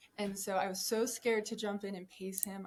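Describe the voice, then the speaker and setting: A woman's plain, everyday voice, medium in pitch, at a fairly quick pace with an American accent. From Colorado. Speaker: ultrarunner. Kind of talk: podcast interview. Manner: casual, conversational.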